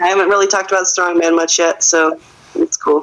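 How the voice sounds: Her fairly low-pitched voice has a fairly bright tone, and the woman's pitch moves very little. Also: fairly quick pace.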